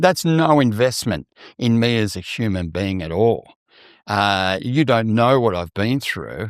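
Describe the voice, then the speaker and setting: In a very clean recording with a silent background, a man with an Australian accent and a fairly low pitch sounds dry and close, with no echo. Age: 60s. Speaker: mental health advocate and TV presenter. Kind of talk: podcast interview.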